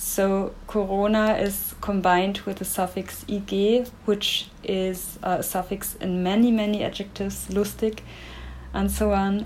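In a German accent, a woman talks at a fairly slow pace with monotone, flat intonation. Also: medium pitch for a woman. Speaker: language researcher. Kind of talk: interview.

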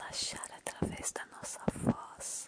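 Someone whispers in a gentle, soothing tone at a very slow pace. Noticeable background noise sits behind the voice. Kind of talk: whispered ASMR storytelling. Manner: whispering, hushed and soothing, intimate and unhurried; gentle, slow-paced, lulling, addressing listener directly.

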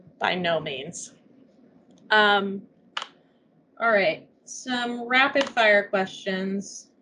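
A woman with a Midwestern accent speaks very slowly at a medium pitch, with ordinary variation in her pitch. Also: long, frequent pauses, big swings in loudness. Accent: general Midwestern American. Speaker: podcast co-host. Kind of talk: casual chat. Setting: video call.

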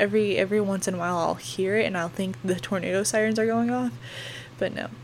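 A woman with an American accent and a medium-pitched voice talks at a moderate pace with lively intonation. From northwestern Oklahoma. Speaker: podcast host and meteorology student. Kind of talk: casual storytelling monologue. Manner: hesitant, many fillers.

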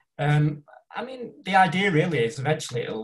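This is a man's voice. He speaks with a northern English accent. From northern England. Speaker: independent filmmaker. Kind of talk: casual chat. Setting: video call.

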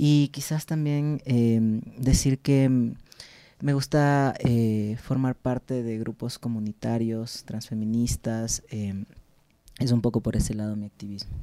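Dark, mellow tone at a very slow pace, fairly even intonation, and a dry, close sound with no echo. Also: man, medium pitch for a man. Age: 30s. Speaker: clinical psychologist. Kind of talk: interview conversation.

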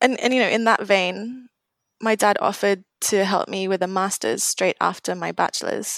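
A woman with a British accent talks at a moderate pace, and the sound is dry and close with no echo. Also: medium pitch for a woman, fairly even intonation, very clean recording, silent background. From Singapore, then UK from age 13. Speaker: marine conservation program manager. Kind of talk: casual interview.

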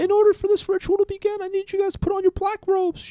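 A man's put-on character voice, extremely high in pitch, very fast and monotone, flat in intonation. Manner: commanding, ominous.

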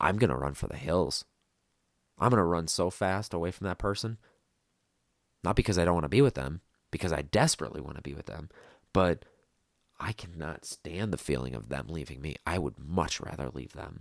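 In a very clean recording with a silent background, a man with an American accent and a very deep, low voice full of vocal fry talks at a fairly quick pace, with lively intonation, big swings in loudness, and long, frequent pauses. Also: dry, close sound with no echo. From US Midwest. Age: 20s. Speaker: podcaster with borderline personality disorder. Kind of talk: personal monologue. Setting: solo podcast recording. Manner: halting, with fillers and repetitions.

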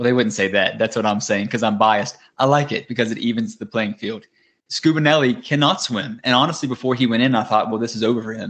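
A man talks at a very fast pace in a strong Southern US accent. His medium pitch shows ordinary variation. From US South. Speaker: podcast co-host. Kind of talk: casual chat. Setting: video call.

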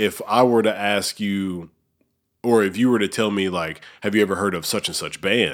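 In a very clean recording with a silent background, a man with a normal speaking voice talks at a moderate pace, his fairly low pitch showing ordinary pitch variation. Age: 30s. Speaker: podcast host. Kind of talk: casual chat. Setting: studio.

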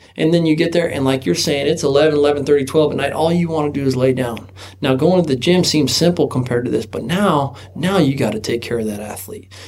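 Against noticeable background noise, a man talks at a fairly quick pace with a fairly high pitch. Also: ordinary pitch variation. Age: 30s. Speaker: sunglasses company founder and former rodeo team roper. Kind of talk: casual chat.

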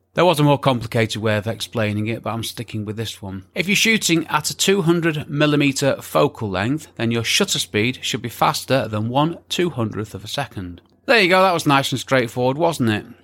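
A man has a normal speaking voice at medium pitch, with lively intonation. He goes at a fairly quick pace with hardly any pauses. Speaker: podcast host and photography teacher. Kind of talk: scripted-style educational podcast monologue. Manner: informal, conversational, explanatory.

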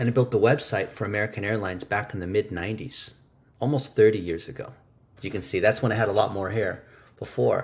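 At a very fast pace, a man with a fairly low pitch and ordinary pitch variation sounds somewhat breathy. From US. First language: Chinese. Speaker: digital marketing expert. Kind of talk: interview conversation. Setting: video call.

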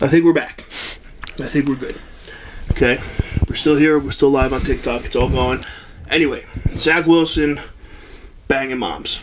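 Long, frequent pauses break up a man's speech at a moderate pace. Background noise is noticeable. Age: 30s. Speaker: sports podcast host. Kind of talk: casual chat. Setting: studio, also streamed live on TikTok. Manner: animated.

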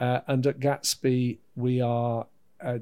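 A man with a British accent talks at a medium pitch in a dark, mellow tone. His intonation is monotone and flat. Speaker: education adviser. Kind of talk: casual interview.

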